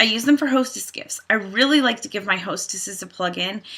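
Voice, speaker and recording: A woman speaks at a fairly quick pace in a bright, sharp tone with ordinary pitch variation over a quiet background. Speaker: direct sales team leader. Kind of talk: training tutorial. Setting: home. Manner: fast. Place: home room. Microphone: webcam.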